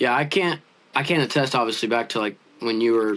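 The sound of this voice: At a fairly quick pace, a man speaks with ordinary pitch variation and a fairly bright tone. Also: medium pitch for a man.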